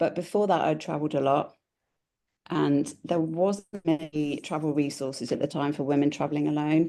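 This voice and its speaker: A woman with a British accent and a very deep, low pitch talks at a fairly quick pace in a dark, mellow tone against a quiet background. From Britain. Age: 40s. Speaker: travel blogger. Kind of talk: casual chat.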